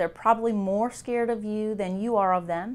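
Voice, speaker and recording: With ordinary pitch variation, a woman speaks at a fairly quick pace. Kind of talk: interview answer. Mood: calm, friendly explanation. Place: office. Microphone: lapel.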